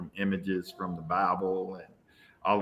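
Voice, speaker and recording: This man has a very deep, low pitch with a bright, sharp tone. He talks at a moderate pace. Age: 60s. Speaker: visual artist. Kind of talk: interview.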